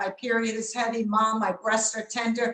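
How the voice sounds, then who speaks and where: A woman speaks with a fairly high pitch. Audible room echo fills the recording. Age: 60s. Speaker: doctor. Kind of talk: webinar lecture.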